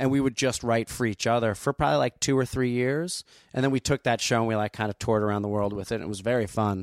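The speaker has an American accent. The recording is very clean and dry, close with no echo, over a silent background. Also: man. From New Jersey (Asbury Park/Neptune). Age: 30s. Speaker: stand-up comedian. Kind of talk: casual chat.

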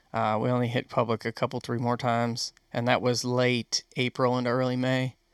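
With an American accent, a man talks at a fairly quick pace with hardly any pauses, his monotone, flat intonation and very even loudness captured in a dry, close sound with no echo on a very clean recording with a silent background. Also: medium pitch for a man. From Western New York. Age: 20s. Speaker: hunter. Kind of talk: casual chat.

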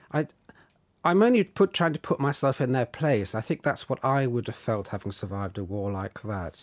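A man's medium-pitched voice with a southern English accent, very wide pitch swings and a moderate pace, dry and close without echo, on a very clean recording against a silent background. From southern England. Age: 60s. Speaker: novelist. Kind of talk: interview.

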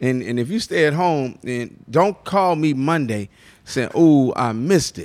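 On a very clean recording with a silent background, a man with an American accent talks loudly and fairly slowly at a fairly high pitch, his intonation lively. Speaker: radio personality and MC. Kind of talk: live interview. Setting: live recording with audience. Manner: energetic.

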